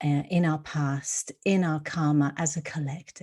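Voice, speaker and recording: A woman speaks at a very slow pace with a very deep, low pitch and fairly even intonation. The recording is very clean, with a silent background. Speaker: spiritual card reader. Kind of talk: tarot/oracle card reading to camera. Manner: slow, with frequent fillers.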